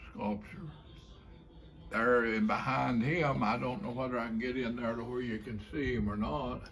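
An Appalachian accent over light background noise. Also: man, ordinary pitch variation. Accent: Appalachian Kentucky. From Kentucky. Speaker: folk artist, painter and sculptor. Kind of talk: casual talk to camera, gallery tour. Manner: slow, hesitant. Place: home room. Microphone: phone near.

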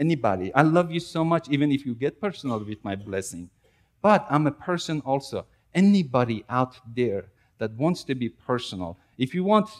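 A man's pitch swings very widely while he keeps a moderate pace. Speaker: preacher. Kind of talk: sermon. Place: church.

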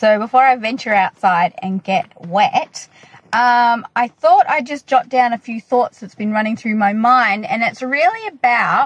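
The recording is dry with no echo as a woman speaks at a fairly slow pace. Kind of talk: casual vlog chat. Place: car. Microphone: phone near.

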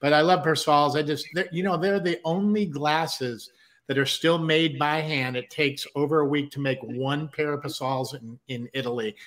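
A man's normal speaking voice, fairly high in pitch, at a moderate pace with ordinary pitch variation and an American accent. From Southern California (San Diego). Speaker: musician and producer, co-host. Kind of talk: casual chat.

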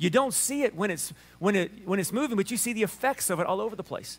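Here a man speaks with a Southern US accent and a high pitch. His intonation is lively. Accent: Southern US drawl. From Alabama. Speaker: pastor preaching a sermon. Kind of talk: casual, folksy sermon. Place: church.

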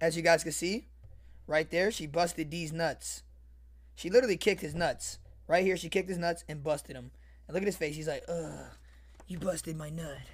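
Speaking at a fairly quick pace, a man with a fairly high pitch uses an animated tone, with vocal fry. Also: big swings in loudness. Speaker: online video creator reading a story. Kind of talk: comedic mock bedtime story read aloud with crude running commentary to viewers. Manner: animated, excitable, repetitive ('see, guys?'), cracking up and riffing mid-reading; crude, joking, addressing the chat. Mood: joking, amused. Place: home room. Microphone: studio mic.

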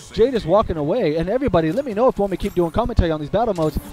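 Music plays in the background as a man speaks in a high pitch. His tone is upbeat, with lively intonation. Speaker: gaming video commentator. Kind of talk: live play-by-play game commentary. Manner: animated, excitable, chatty with filler words; upbeat, addresses audience directly.

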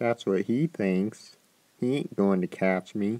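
A man does a cartoonish character voice, fairly low in pitch and at a fairly slow pace. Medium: puppet.

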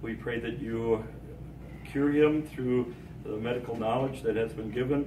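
A man speaks at a moderate pace with fairly even intonation. Background noise is noticeable. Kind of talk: informal group address, then prayer. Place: hall. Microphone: camera far.

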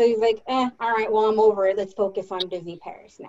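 Over light background noise, a woman speaks at a moderate pace in a fairly high pitch. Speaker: theme park employee. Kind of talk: casual book discussion. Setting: video call. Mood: relaxed, opinionated. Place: home room. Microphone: video call.

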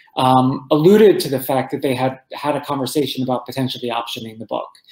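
Audible room echo surrounds a man speaking with an American accent against a quiet background. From New Jersey, Roselle Park; New Jersey. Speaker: entertainment journalist and author; guest. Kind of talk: interview. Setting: podcast. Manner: halting, many fillers. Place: home room.

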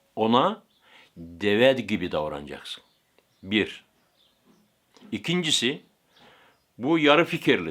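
Vocal fry and very wide pitch swings mark this very slow delivery, broken by long, frequent pauses. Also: man, medium pitch for a man. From Turkey, Aegean (Bodrum area). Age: 60s. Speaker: camel wrestling breeder. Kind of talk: interview answers.

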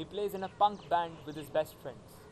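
A man at a moderate pace, with light background noise. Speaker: actor performing a monologue. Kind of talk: acted monologue, college admission speech. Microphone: phone near.

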